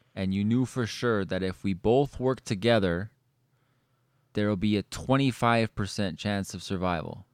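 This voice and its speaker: A normal speaking voice, with ordinary pitch variation and a moderate pace, comes through in a very clean recording against a silent background. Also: man, fairly low pitch for a man. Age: 30s. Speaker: podcast host. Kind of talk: casual chat; storytelling.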